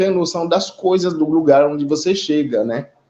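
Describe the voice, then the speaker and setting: A high-pitched man talks at a moderate pace, his pitch varying in an ordinary way. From Haiti. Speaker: immigrant community representative. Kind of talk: live online panel discussion. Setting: online live stream.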